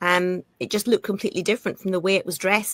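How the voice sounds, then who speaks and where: In a Scottish accent, a woman speaks at a medium pitch, the sound dry and close with no echo. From Scotland. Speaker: actress. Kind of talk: interview. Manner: halting, with frequent repetitions.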